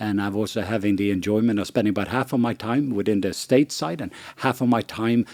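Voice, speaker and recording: Fairly low-pitched man with a Norwegian accent, at a fairly quick pace with ordinary pitch variation, on a very clean recording with a silent background. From Norway. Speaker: missionary and ministry leader. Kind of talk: podcast conversation. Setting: studio around a table.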